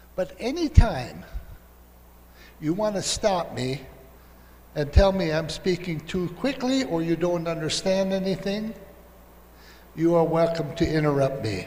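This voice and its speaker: Speaking with an American accent, a man uses lively intonation at a high pitch and fairly slow pace, leaving long, frequent pauses amid audible room echo. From US Midwest, Minnesota. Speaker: professor. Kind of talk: lecture.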